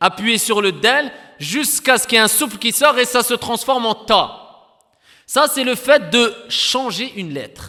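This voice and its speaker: A man talks at a fairly slow pace in an extremely high pitch with ordinary pitch variation. His raised, projected voice has a bright, sharp tone. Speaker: Quran recitation teacher. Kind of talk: lecture.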